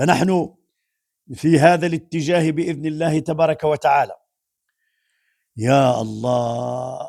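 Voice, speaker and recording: A man's fairly high voice unfolds at a fairly slow tempo, its pitch varying in an ordinary way. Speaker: Islamic preacher. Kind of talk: religious commentary.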